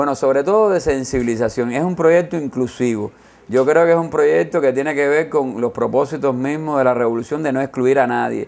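A normal speaking voice from a man, fairly high in pitch with ordinary variation, moving at a fairly quick pace. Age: 40s. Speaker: gender studies researcher and author. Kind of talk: interview.

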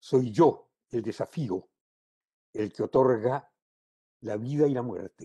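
Against a quiet background, a man speaks very slowly in a somewhat breathy, dark, mellow voice of medium pitch. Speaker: poet. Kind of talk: poetry reading, solemn and measured delivery. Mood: solemn, declamatory. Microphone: video call.

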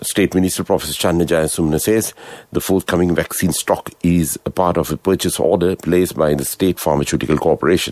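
A man with a very deep, low pitch at a very fast pace, fairly even intonation and very even loudness, in a dry sound with no echo. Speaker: radio newsreader. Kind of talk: news reading. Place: studio.

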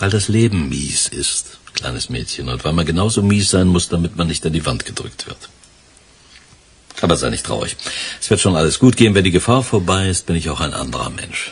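A man puts on a character voice with a husky, rough edge, low in pitch, talking at a fairly quick pace with lively intonation.

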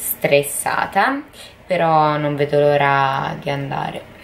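Light background noise sits under a woman who talks at a very slow pace. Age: 20s. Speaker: vlogger. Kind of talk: personal video diary. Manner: halting. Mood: worried, subdued. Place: home room. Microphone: phone near.

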